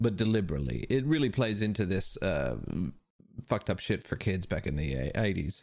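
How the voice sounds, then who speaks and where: This man talks at a fairly quick pace with a fairly low pitch and vocal fry. His pitch swings very widely. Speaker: comedian. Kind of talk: casual chat.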